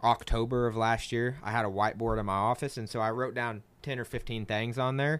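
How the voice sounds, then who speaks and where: The recording is very clean with a silent background, featuring a man with an unremarkable speaking voice. He speaks at a moderate pace and medium pitch with fairly even intonation. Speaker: podcast host. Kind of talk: interview. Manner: casual.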